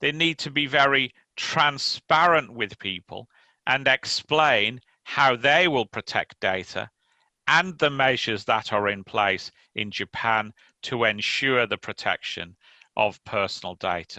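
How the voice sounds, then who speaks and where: Speaking with an English accent, a man uses a medium pitch, a bright, sharp tone, and lively intonation at a fairly slow pace. The sound is dry and close with no echo against a quiet background. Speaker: lawyer. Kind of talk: conference talk. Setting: remote conference presentation.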